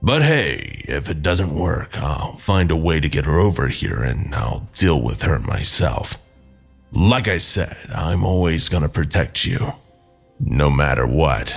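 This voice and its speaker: Over faint background music, a man does a put-on character voice that is raspy and very deep, talking at a fairly slow pace. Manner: soothing, protective; casual, joking.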